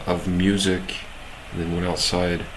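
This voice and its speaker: Noticeable background noise and audible room echo surround a man's voice. He speaks fairly slowly at a very deep, low pitch. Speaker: live-streaming software developer. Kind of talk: casual live stream coding chat. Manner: halting, many fillers.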